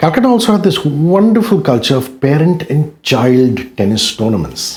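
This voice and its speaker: A man's fairly high, somewhat breathy voice swings very widely in pitch. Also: moderate pace. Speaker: radio jockey. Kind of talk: interview answer.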